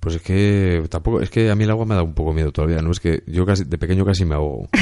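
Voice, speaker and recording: In a Castilian accent, a man speaks at a very fast pace with a very deep, low pitch, a dark, mellow tone and fairly even intonation. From Burgos, Spain. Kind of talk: casual chat.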